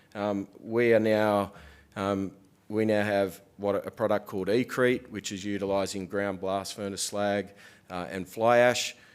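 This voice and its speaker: In a New Zealand accent, a man speaks fairly slowly with monotone, flat intonation on a very clean recording with a silent background. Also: fairly low pitch for a man. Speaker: business executive, conference presenter. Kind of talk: conference presentation.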